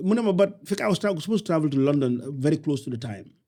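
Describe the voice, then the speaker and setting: With a Senegalese accent, a man speaks using lively intonation. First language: Wolof. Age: 60s. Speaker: entrepreneur. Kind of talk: interview conversation. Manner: halting.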